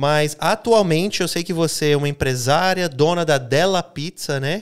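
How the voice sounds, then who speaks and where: On a very clean recording with a silent background, a man speaks at a moderate pace with fairly high pitch and ordinary pitch variation. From Minas Gerais roots, raised abroad. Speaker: podcast host. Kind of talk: casual interview. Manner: high energy.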